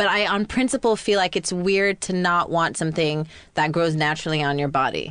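This woman has a normal speaking voice and a fairly low pitch. She talks at a fairly quick pace with ordinary pitch variation. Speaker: host's college friend and co-panelist. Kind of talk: casual comedic chat. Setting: studio with headphones.

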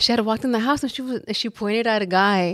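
Delivered at a very fast pace, a woman's voice keeps fairly even intonation in a very clean recording with a silent background. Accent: Southern California. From South Central Los Angeles. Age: 20s. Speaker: influencer. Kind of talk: casual chat.

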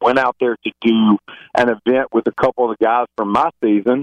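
In a Southern US accent, a man speaks at a moderate pace with ordinary pitch variation and a dry, close sound with no echo. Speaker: reality TV alum. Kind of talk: casual interview chat.

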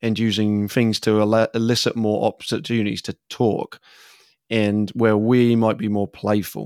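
Speaking at a moderate pace in an English accent, a man uses a fairly low pitch and a monotone, flat intonation, with a dry, close sound with no echo on a very clean recording over a silent background. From England. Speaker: facilitator.

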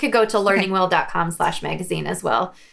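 Noticeable background noise fills the recording. Over it, a woman talks at a moderate speed. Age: 40s. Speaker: homeschooling mom and magazine founder. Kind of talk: casual interview chat.

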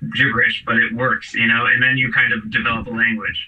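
Very fast speech from a man comes over noticeable background noise. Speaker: musician. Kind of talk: casual chat. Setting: video call.

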